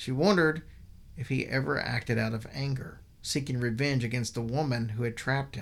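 The voice reads aloud in an unforced manner.

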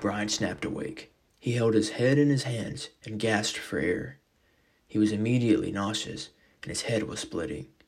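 Dramatic tone from a man with a fairly low pitch, lively intonation and a moderate pace. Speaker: fiction podcast narrator. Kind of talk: horror narration, scripted storytelling. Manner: dramatic, voicing characters.

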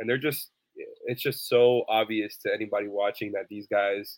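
A man talks at a fairly quick pace and a fairly low pitch, with an ordinary speaking voice. The sound is dry and close, with no echo. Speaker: sports podcast co-host. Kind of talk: sports analysis discussion.

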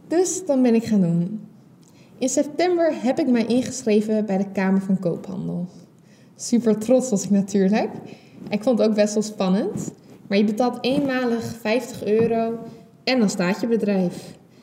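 An ordinary speaking voice comes at a fairly slow pace, with very even loudness and ordinary pitch variation. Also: woman, fairly high pitch for a woman. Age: 20s. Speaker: podcast host. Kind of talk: solo podcast monologue.

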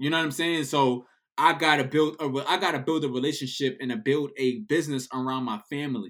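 Speaking at a fairly quick pace with an American accent, a man with a fairly high pitch uses ordinary pitch variation on a very clean recording with a silent background. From New York City. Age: 30s. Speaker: DJ. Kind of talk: casual chat.

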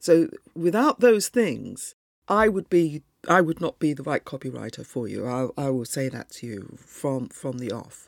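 A woman's very deep, low voice with very wide pitch swings, big swings in loudness and a fairly slow pace. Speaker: copywriter. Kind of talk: solo podcast monologue. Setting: live broadcast. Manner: hesitant, many fillers.

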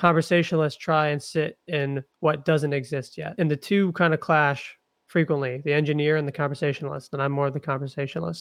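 A man's fairly high voice at a fairly quick pace with hardly any pauses, fairly even intonation, a normal speaking voice, and a quiet background. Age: 20s. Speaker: investor and agency founder. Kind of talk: casual interview.

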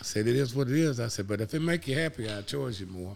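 On a very clean recording with a silent background, a man with an Alabama accent talks at a very fast pace with lively intonation. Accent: US Southern (Alabama). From Alabama (Cullman). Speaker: auto detailer and ceramic coating distributor. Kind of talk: casual chat.

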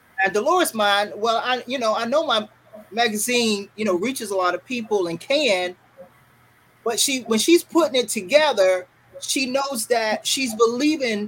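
This woman has a North Carolina accent and a fairly high pitch, with lively intonation at a moderate pace. Noticeable background noise runs underneath. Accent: US Southern (North Carolina). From Fayetteville, North Carolina. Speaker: radio broadcaster. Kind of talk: interview, motivational talk. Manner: halting, with fillers.

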